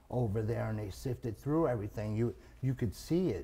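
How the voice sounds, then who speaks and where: Somewhat breathy male voice with a dark, mellow tone, ordinary pitch variation and a New York accent. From Long Island, New York. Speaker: comedian. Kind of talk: casual chat. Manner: halting.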